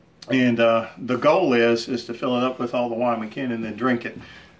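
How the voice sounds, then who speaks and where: A man at medium pitch, monotone and flat, at a fairly quick pace against noticeable background noise. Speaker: woodworking hobbyist and channel host. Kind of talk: casual shop update video. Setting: home workshop. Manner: halting, many fillers.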